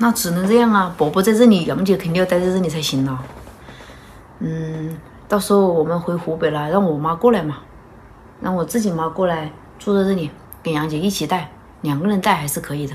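A woman with a fairly low voice speaks at a fairly quick pace with ordinary pitch variation, leaving long, frequent pauses over light background noise. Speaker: vlogger mother. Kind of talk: casual vlog chat. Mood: calm, thoughtful planning talk. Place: home room. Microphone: phone near.

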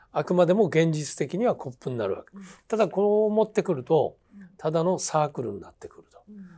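In a quiet background, a high-pitched man with a dark, mellow tone talks at a fairly quick pace, with lively intonation and big swings in loudness. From Japan, Hitachi (Ibaraki); Ibaraki, Japan. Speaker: theatre director and teacher; teacher. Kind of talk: interview conversation. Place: studio.

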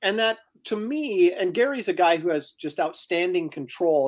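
A man with an American accent speaks in a high voice with lively intonation. The background is quiet. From US Pacific Northwest. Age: 50s. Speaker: comic book artist and live show host; comic book artist, live show host. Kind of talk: casual chat and interview. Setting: live video stream. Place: home room.

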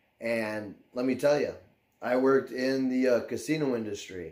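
The background stays quiet. This man talks at a moderate pace. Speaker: YouTuber. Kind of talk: casual vlog chat. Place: home room.

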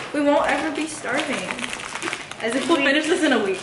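Very fast speech amid noticeable background noise. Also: woman. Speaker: college student vlogger. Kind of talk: casual vlog chat. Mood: playful, laughing. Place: kitchen.

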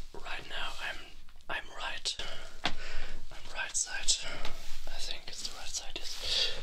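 A man speaks at a very slow pace, leaving long, frequent pauses. Loud background noise runs underneath. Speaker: ASMR creator. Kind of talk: ASMR talk to camera. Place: home room. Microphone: studio mic.

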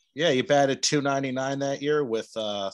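This man speaks with an American accent and fairly even intonation. The background is quiet. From New Jersey. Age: 40s. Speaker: podcast host. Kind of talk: podcast outro; casual interview chat. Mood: friendly, conversational. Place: home room. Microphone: studio mic.

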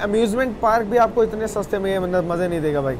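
A man speaks at a fairly quick pace with ordinary pitch variation. Background noise is clearly audible.

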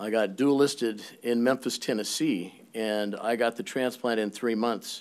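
Ordinary pitch variation from a man speaking at a fairly slow pace. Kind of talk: personal testimony at a public meeting. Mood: earnest, personal story. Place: hall. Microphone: podium.

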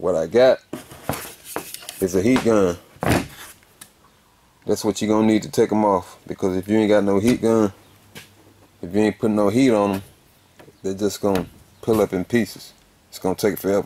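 Speaking at a moderate pace with a fairly low pitch, the man leaves long, frequent pauses. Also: fairly even intonation. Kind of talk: tutorial. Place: garage. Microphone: phone near.

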